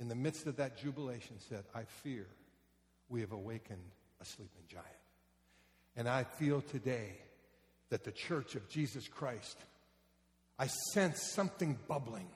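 The speaker talks at a moderate pace with lively intonation and a somewhat breathy quality. Long pauses come often. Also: man, medium pitch for a man. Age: 60s. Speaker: pastor. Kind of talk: sermon. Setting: church. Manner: animated.

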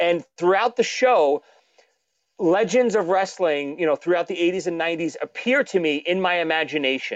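A man with a Brooklyn accent, high in pitch, at a moderate pace with ordinary pitch variation. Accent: Brooklyn New York, noticeable. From Brooklyn, New York. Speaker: drummer, author and podcaster. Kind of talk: casual interview chat.

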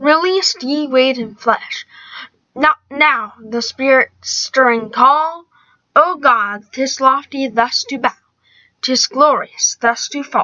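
Her high-pitched voice moves at a very slow pace, and this woman uses ordinary pitch variation. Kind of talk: poem reading aloud, then casual commentary. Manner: halting, stumbling over old words, self-correcting; amateur, conversational, uneven.

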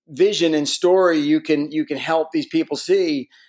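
In an unremarkable speaking voice, a man with an American accent and a fairly high pitch talks at a fairly slow pace. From Connecticut, US. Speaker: real estate investor. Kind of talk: interview.

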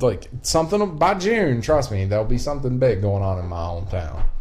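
A man speaks at a moderate pace with a strong Appalachian accent, and there is noticeable background noise. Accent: Appalachian Southern, strong. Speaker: podcast host. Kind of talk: casual chat. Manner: casual, profane, talkative.

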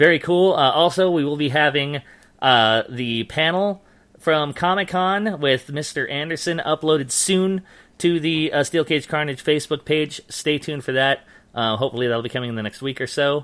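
On a very clean recording with a silent background, a man uses a normal speaking voice at a moderate pace, with fairly high pitch and ordinary pitch variation. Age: 30s. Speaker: wrestling podcast host. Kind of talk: casual chat.

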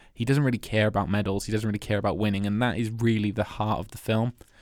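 With a Welsh accent, a man talks in a fairly low voice and fairly even intonation, recorded very cleanly against a silent background. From Wales. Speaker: film podcast host. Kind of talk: casual chat.

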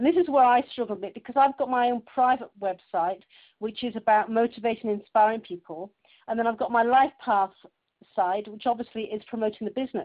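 A woman talks at a very fast pace. Her pitch is fairly high, with ordinary variation. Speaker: webinar participant. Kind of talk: casual chat. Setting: phone conference. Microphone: telephone line.

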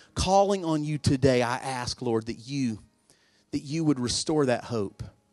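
Music plays behind a man whose voice is fairly high. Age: 40s. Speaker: pastor. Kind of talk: sermon. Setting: church with congregation. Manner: urgent, fervent preacher in full flow, pleading altar call; casual, conversational, self-deprecating and humorous.

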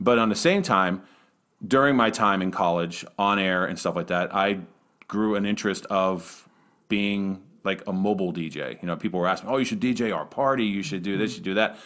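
Recorded very cleanly against a silent background, a plain, everyday voice moves at a fairly quick pace with ordinary pitch variation. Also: man, fairly low pitch for a man. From Western Pennsylvania. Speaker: arena public address announcer. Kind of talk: casual interview.

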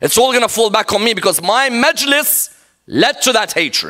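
A man with a high pitch uses a raised, projected voice with a bright, sharp tone. His delivery is animated, with lively intonation. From Iraq. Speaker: Islamic scholar and preacher. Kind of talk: sermon. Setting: mosque with live audience.

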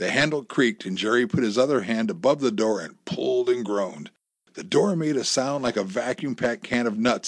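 The background stays quiet while someone reads in an unforced voice.

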